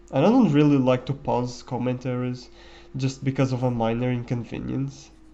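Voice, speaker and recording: A man's voice at a moderate pace with fairly even intonation. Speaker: gaming commentator. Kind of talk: gameplay commentary. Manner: halting. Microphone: quiet microphone.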